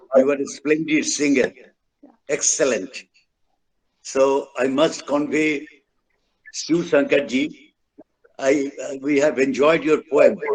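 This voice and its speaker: With a Bengali accent, a man talks at a very slow pace, leaving long, frequent pauses, his intonation fairly even. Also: fairly high pitch for a man. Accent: Bengali Indian English. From India, Bengal. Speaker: event speaker. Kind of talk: formal speech at online event. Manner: halting.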